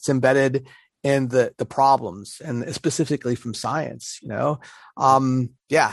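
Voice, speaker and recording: A man speaks at a fairly slow pace and medium pitch, his intonation fairly even but his loudness swinging widely. The sound is dry and close with no echo against a quiet background. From Pittsburgh, US. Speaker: podcast co-host on learning theory. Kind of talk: casual podcast chat about education. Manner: halting, self-correcting, conversational.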